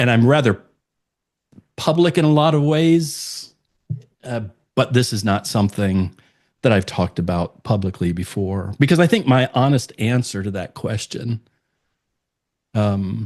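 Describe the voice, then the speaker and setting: At a fairly slow pace with long, frequent pauses, a man of medium pitch speaks over a quiet background. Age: 60s. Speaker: podcast guest, speaker. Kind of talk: personal testimony in interview.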